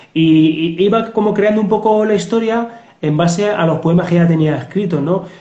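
With audible room echo, a man talks in a high voice at very even loudness. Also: ordinary pitch variation, moderate pace. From Spain. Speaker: police officer and novelist. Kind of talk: interview. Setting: video call. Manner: halting. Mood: relaxed, reflective. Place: home room. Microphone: video call.

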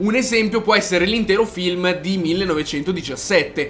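A man is speaking. Faint music plays behind him. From Italy. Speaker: YouTuber, anime film reviewer. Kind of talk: video review. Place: home room.

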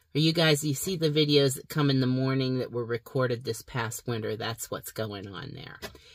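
Over a quiet background, a woman talks with a very deep, low pitch and ordinary pitch variation. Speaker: channel host. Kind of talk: casual vlog chat. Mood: warm, upbeat. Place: car. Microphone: phone near.

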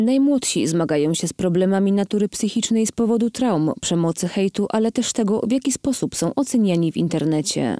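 On a very clean recording with a silent background and a dry, close sound free of echo, a woman speaks at a fairly quick pace with a medium pitch, a dark, mellow tone and lively intonation. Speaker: news reporter. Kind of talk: news reading.

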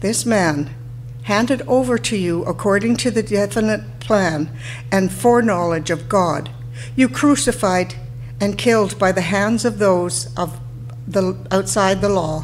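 A woman talks fairly slowly in a fairly low voice with vocal fry. Her pitch swings very widely over light background noise. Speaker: lay scripture reader. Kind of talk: scripture reading. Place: church. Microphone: podium.

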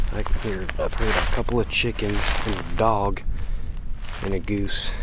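A man at a fairly slow pace, dry sound with no echo, and loud background noise. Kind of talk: casual vlog chat. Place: forest. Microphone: phone near.

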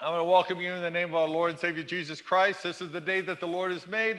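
The voice is raised and projected. Behind it, the background is quiet. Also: man. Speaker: pastor. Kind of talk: church welcome and announcements. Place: church.

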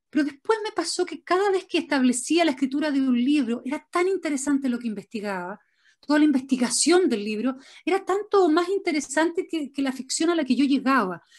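A woman speaks at a fairly quick pace with very wide pitch swings over a quiet background. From Chile. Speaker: writer; interviewee. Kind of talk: interview. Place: home room. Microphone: video call.

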